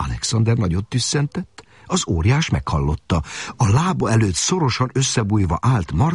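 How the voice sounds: The voice is a natural reading voice. It is used throughout.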